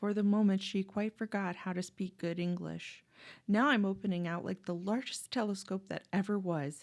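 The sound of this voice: The voice reads in an unforced way. Its intonation is fairly even.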